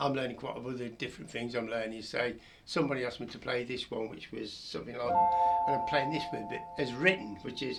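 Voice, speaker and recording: Over music in the background and audible room echo, a man at a medium pitch talks at a very fast pace with lively intonation. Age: 70s. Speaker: piano teacher. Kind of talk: tutorial. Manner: halting.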